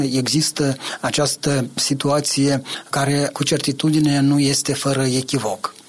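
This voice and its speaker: A man's fairly high voice in a flat monotone, over noticeable background noise. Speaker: political analyst. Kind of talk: interview.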